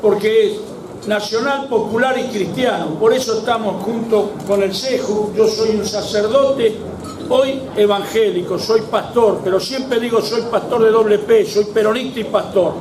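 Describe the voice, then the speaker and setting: Over noticeable background noise and audible room echo, a man speaks fairly slowly with fairly even intonation at a high pitch. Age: 70s. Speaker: evangelical pastor and former union member. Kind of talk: political rally speech.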